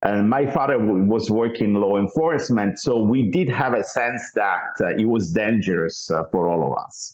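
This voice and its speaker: Lively intonation marks this man's speech at medium pitch, with an Italian accent. His pace is fairly slow. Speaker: mission founder. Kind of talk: interview. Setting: podcast. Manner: halting, many fillers and repeats.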